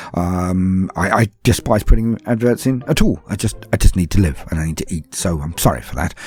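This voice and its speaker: A very deep, low male voice with lively intonation and a fairly quick pace, plus noticeable background noise. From London (Cockney). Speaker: YouTuber and podcaster. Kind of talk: Q&A session answering patron questions. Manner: calm, formal.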